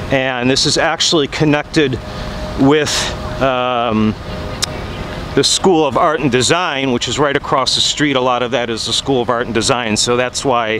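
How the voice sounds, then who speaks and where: Male speech at a moderate pace with long, frequent pauses, dry with no echo, against noticeable background noise. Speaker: vlogger giving a walking tour. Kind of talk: casual vlog chat. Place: street. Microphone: phone near.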